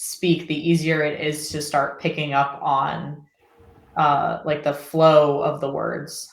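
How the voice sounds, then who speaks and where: This speaker talks at a very slow pace with an American accent. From Florida. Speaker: online English tutor. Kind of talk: casual chat.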